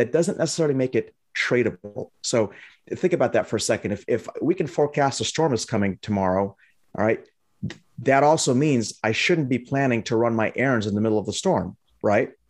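A man talks at a fairly quick pace in a normal speaking voice, medium in pitch, with lively intonation. The recording is very clean with a silent background. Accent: American. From Lebanon, raised in the US from age four. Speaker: trading educator and company CEO. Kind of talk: interview.

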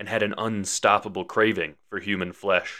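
A man with a fairly low pitch speaks in a monotone, flat intonation at a moderate pace. The recording is very clean with a silent background. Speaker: horror storyteller podcaster. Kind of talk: scripted horror storytelling narration. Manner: theatrical, spooky, dramatic.

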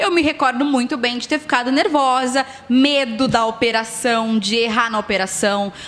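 Over noticeable background noise, a woman with a high-pitched voice speaks at a moderate pace. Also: ordinary pitch variation. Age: 30s. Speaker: radio announcer. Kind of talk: casual chat. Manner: talkative, radio-announcer delivery.

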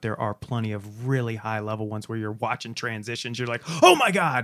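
A man with a medium-pitched voice talks at a very fast pace on a very clean recording with a silent background. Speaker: podcast host. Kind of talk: casual chat.

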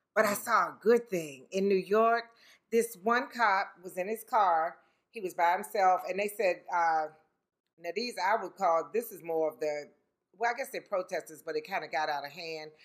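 A woman with a plain, everyday voice speaks at a moderate pace and medium pitch, showing ordinary pitch variation and big swings in loudness. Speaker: podcast co-host, mother. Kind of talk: casual chat.

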